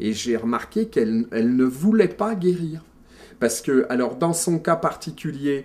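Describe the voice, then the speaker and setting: A man with a fairly high pitch talks at a fairly slow pace. The recording is very clean, with a silent background. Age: 60s. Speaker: former doctor. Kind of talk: interview. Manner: halting.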